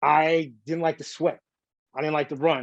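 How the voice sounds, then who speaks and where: A man's fairly high voice at a moderate pace, the sound dry and close with no echo. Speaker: tattoo artist and figure sculptor. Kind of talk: interview. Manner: halting, says um a lot; rambling, jumps between topics.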